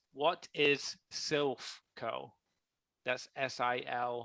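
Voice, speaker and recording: A man's bright, sharp voice with ordinary pitch variation, in a dry, close sound with no echo. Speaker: game show style stream host. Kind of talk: live game show quiz on stream.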